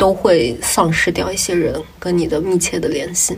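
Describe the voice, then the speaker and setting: Noticeable background noise sits behind the voice. The speaker is a woman. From Jiangsu, China. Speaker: podcast co-host. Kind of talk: casual chat.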